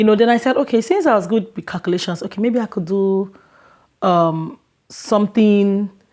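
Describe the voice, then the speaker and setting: On a very clean recording with a silent background, a woman speaks with a Nigerian accent at a moderate pace. Her medium-pitched voice has a dark, mellow tone and ordinary pitch variation. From Lagos, Nigeria. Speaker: international student. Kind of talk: interview. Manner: halting.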